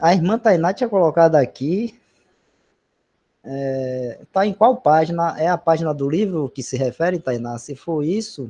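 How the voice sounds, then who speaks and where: Speaking at a fairly slow pace, a man with a fairly high pitch uses a dark, mellow tone and lively intonation. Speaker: bible study leader. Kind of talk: bible study discussion.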